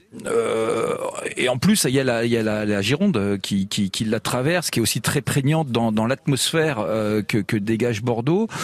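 Noticeable background noise sits behind a man speaking at a medium pitch and a moderate pace. His loudness stays very even, with ordinary pitch variation. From France, born in Lyon, lives in Dijon. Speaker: magazine publisher. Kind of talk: casual chat. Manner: halting, many repetitions.

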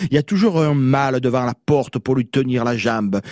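The sound is dry and close with no echo as a man with a medium pitch speaks at a fairly slow pace. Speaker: radio chronicler of local words. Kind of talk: radio chronicle. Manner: animated.

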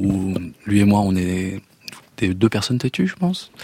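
This man speaks at a fairly low pitch. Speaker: singer. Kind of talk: casual chat. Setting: studio. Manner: halting.

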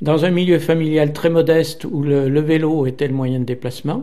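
Noticeable background noise runs under the recording. A man speaks at a moderate pace with a fairly high pitch. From Saint-Étienne, Loire, France. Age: 70s. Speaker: cycling enthusiast and geographer. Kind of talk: personal storytelling.

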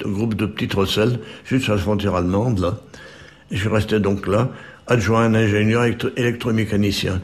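Over noticeable background noise, a man speaks in a fairly low, monotone voice with flat intonation. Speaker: retired mining engineer. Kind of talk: oral history testimony. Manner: halting, many repetitions.

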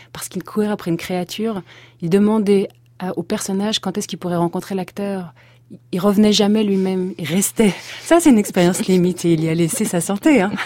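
Against a silent background in a very clean recording, a woman speaks fairly quickly at a medium pitch with a dark, mellow tone. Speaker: stage actress. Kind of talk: interview. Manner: animated.

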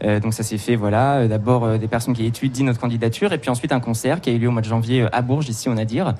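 A man speaks at a very fast pace with hardly any pauses. His pitch is medium and his intonation fairly even. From Touraine, France. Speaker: singer. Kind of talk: radio interview. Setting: studio with live audience.

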